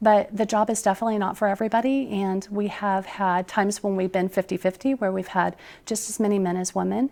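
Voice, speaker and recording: Over a silent background in a very clean recording, a woman speaks very fast at a medium pitch in a flat monotone. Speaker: 911 center director. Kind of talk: interview.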